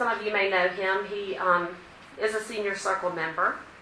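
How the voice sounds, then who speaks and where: Over noticeable background noise and audible room echo, a woman talks at a moderate pace. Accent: American. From Virginia. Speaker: cardiac rehabilitation nurse. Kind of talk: talk to a community group. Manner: loud.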